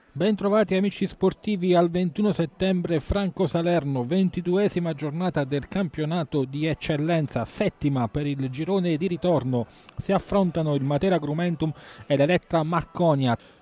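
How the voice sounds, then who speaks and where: Here a man with a high pitch talks at a moderate pace with ordinary pitch variation. The sound is dry and close, with no echo. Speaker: football commentator. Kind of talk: live sports commentary. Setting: stadium.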